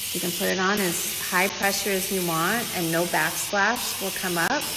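A woman's fairly low voice, fairly slow and fairly even in intonation, with noticeable background noise. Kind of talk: casual vlog chat. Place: bathroom. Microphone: phone near.

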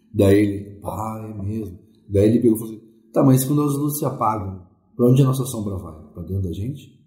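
A man's fairly low, dark and mellow voice, somewhat breathy, at a fairly quick pace with ordinary pitch variation, big swings in loudness and audible room echo. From Porto Alegre, southern Brazil. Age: 40s. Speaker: musician, ghost-tour guide. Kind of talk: interview.

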